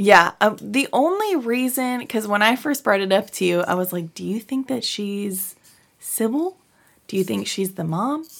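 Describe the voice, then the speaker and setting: With a normal speaking voice, a woman talks at a moderate pace, pitched fairly high with lively intonation. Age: 30s. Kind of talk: casual chat.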